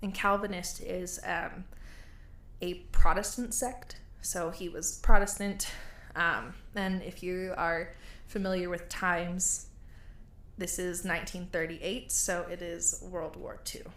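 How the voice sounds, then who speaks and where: A woman with an American accent speaks fairly slowly in a bright, sharp tone, leaving long, frequent pauses, with fairly even intonation and big swings in loudness. Audible room echo surrounds her voice. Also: medium pitch for a woman. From United States. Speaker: podcast host. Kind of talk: storytelling. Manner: casual.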